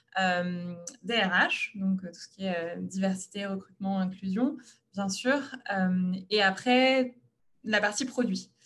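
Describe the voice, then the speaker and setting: Speaking at a very slow pace with long, frequent pauses, a woman of medium pitch shows ordinary pitch variation and big swings in loudness. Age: 30s. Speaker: startup co-founder. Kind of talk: panel talk, self-presentation. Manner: hesitant, frequent fillers.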